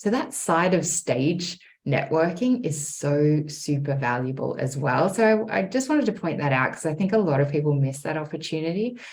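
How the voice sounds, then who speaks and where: A woman with an Australian accent talks at a moderate pace with hardly any pauses. Her very deep, low voice is somewhat breathy, with lively intonation. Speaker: speaking strategist. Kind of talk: podcast interview answer.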